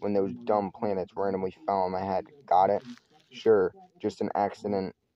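The speaker is reading aloud. The voice stays natural.

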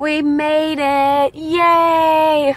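A woman's voice swings very widely in pitch, with a bright, sharp tone. The sound is dry with no echo, over light background noise. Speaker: vlogger. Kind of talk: casual vlog chat. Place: car. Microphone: phone near.

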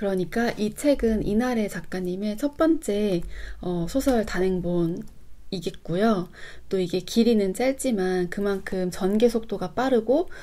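A woman's dark, mellow tone at a fairly slow pace. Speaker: book YouTuber. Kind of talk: book review monologue. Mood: calm, engaged. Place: home room.

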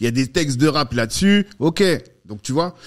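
Against a quiet background, a man speaks at a moderate pace in a fairly high pitch. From France, Paris suburbs (cité), born Central African Republic; France. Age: 40s. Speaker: entrepreneur, network co-founder; podcast guest. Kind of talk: casual interview. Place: studio. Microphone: studio mic.

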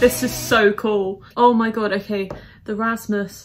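A woman speaks in a shaky, put-on character voice at a fairly slow pace, her medium pitch held in a flat monotone while music plays in the background. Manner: shaky, thrilled.

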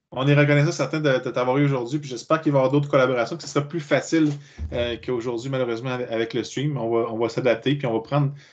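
In a Quebec accent, a man with a medium pitch speaks very fast with fairly even intonation. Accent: Québécois French. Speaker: meetup organizer; meetup host. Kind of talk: casual chat. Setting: video call. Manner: halting. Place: home room. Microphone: headset.

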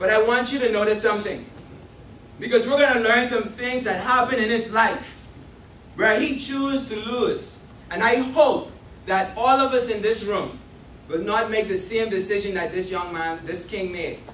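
In a room with audible echo and light background noise, a man speaks at a moderate pace in a high pitch with ordinary pitch variation. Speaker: speaker. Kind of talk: sermon. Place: church.

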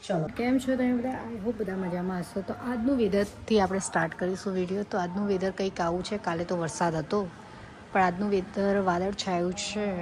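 Over noticeable background noise, a woman talks at medium pitch with fairly even intonation. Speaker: vlogger. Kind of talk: casual vlog narration.

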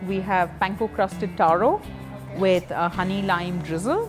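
Clear music plays in the background. A woman talks at a moderate pace. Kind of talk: interview answer. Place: cafe. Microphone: lapel.

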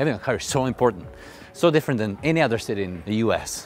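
A man is speaking with faint music in the background. The sound is dry, with no echo. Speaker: fitness vlogger. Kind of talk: casual vlog chat. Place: street. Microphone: phone near.

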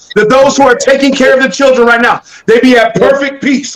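The speech runs at a very fast pace against a quiet background. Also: man. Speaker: prayer participant. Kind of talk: fervent prayer. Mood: earnest, fervent. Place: home room. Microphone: webcam.

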